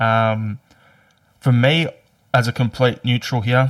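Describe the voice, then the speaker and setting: A man with an Australian accent speaks at a medium pitch, and the sound is dry and close with no echo. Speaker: podcast host. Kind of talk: casual chat.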